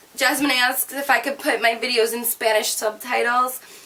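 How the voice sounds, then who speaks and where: A woman talks with a high pitch and ordinary pitch variation. Noticeable background noise sits behind her. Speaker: beauty and fashion YouTuber. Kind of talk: casual Q&A vlog. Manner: fast.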